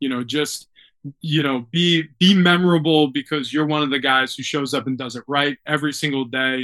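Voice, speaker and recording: A man with a normal speaking voice and an American accent talks at a moderate pace, his fairly high pitch held in fairly even intonation. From New York. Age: 30s. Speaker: former football player and sports radio host. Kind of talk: casual interview.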